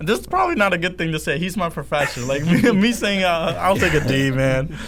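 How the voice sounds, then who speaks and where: A man talks at a fairly quick pace with very wide pitch swings. Audible room echo surrounds his voice. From India, moved to US 2011. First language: Hindi. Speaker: student podcast host. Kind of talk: casual chat. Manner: halting, many false starts.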